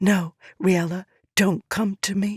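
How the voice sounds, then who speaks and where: The voice is a put-on character voice at a middle pitch. It comes across as raspy. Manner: hushed, urgent.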